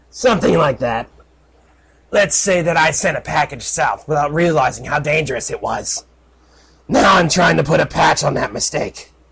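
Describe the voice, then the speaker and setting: A man puts on a raspy character voice. His pitch sits fairly high. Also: moderate pace. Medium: read story.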